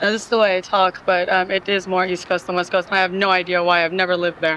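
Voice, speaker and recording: Talking at a very fast pace, the speaker has a slight New York accent. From Iran. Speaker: music journalist. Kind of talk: casual interview chat. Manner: animated.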